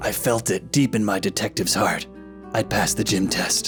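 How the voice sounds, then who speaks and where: Over clear background music, a man performs a gravelly put-on character voice at very even loudness. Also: fairly low pitch for a man, moderate pace. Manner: noir narration.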